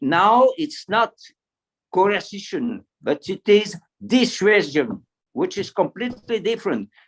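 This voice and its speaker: Recorded with a dry, close sound and no echo, a man with a French accent speaks at a high pitch for a man, at a fairly slow pace with lively intonation, big swings in loudness, and long, frequent pauses. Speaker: retired military officer, panelist. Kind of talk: panel discussion. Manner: halting, many repetitions; enthusiastic. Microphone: poor signal.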